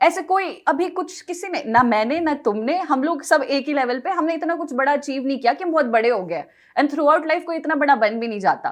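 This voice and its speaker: Lively intonation runs through this woman's high-pitched voice. She speaks at a moderate pace with hardly any pauses. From Himachal Pradesh, small town. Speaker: English teacher. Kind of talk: podcast interview.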